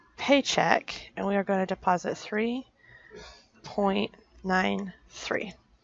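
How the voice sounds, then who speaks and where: The speaker is female. Her voice lands in a middle pitch range. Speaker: personal finance vlogger. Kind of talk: screen-recorded budgeting tutorial. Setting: restaurant while traveling.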